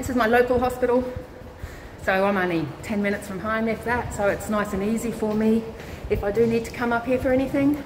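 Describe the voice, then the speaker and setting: Speaking with an Australian accent, a woman talks at a very fast pace and a fairly high pitch, with fairly even intonation. Noticeable background noise and audible room echo are present. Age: 40s. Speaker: vlogger, cancer patient and nurse. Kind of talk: casual live-stream chat. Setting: hospital, walking through corridors. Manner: loud.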